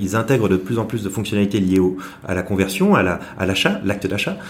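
Amid noticeable background noise and audible room echo, a man with a fairly low pitch talks at a very fast pace. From Brittany, France (Saint-Malo). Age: 30s. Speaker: entrepreneur, digital agency founder. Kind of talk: interview. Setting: office. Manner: hesitant, many fillers and repetitions.

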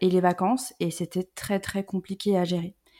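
A woman's medium-pitched voice, dark and mellow in tone, on a very clean recording with a silent background. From France, Lyon (Rhône-Alpes). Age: 30s. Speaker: career transition coach. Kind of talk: casual interview.

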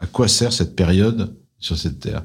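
In a very clean recording with a silent background, a man speaks at a fairly slow pace. His very deep, low voice is somewhat breathy, with ordinary pitch variation. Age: 60s. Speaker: private equity investor. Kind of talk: testimony interview.

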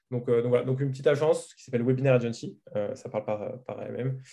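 Speaking at a fairly quick pace, a man has a dark, mellow tone and fairly even intonation. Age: 20s. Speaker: marketing agency owner. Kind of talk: interview.

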